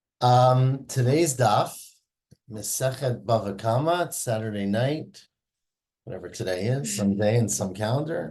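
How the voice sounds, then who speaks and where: Using an unremarkable speaking voice, a man speaks at a fairly slow pace with lively intonation and medium pitch. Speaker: Talmud teacher. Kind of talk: lecture.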